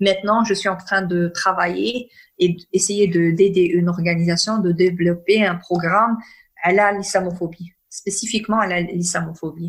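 A somewhat breathy woman's voice with fairly even intonation. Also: medium pitch for a woman. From northern Morocco. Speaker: peace and conflict resolution consultant. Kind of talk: interview.

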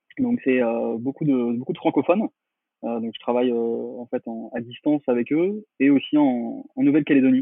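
A man speaks in a normal speaking voice at a medium pitch and moderate pace, with ordinary pitch variation. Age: 30s. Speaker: marketing consultant. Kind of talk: interview.

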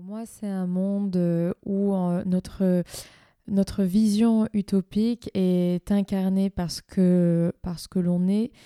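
In a very clean recording with a silent background, a woman with a medium pitch and a dark, mellow tone speaks in a flat monotone, the sound dry and close with no echo. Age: young. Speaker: entrepreneur. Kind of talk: casual conversation.

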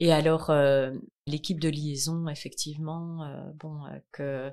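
A woman speaks in a very deep, low voice. Her intonation stays monotone and flat. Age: 40s. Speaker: massage therapist and charity founder. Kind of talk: testimony. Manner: hesitant, many fillers.

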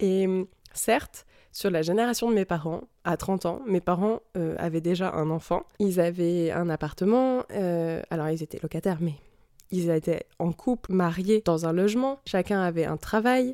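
On a very clean recording with a silent background and a dry, close sound with no echo, a woman speaks slowly-paced in a fairly low, dark, mellow voice with ordinary pitch variation. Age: 20s. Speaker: podcast host. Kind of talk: solo podcast monologue. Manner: casual, conversational.

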